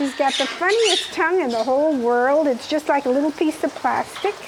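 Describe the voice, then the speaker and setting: With noticeable noise behind her, a woman talks in a high voice at a moderate pace, her pitch varying in an ordinary way. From Germany, Stuttgart. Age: 70s. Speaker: bird keeper. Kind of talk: documentary interview.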